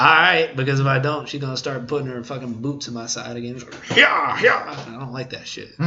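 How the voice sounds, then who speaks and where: Over noticeable background noise, a man at medium pitch talks at a fairly quick pace with hardly any pauses, fairly even intonation and big swings in loudness. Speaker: podcast host. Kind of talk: casual podcast discussion.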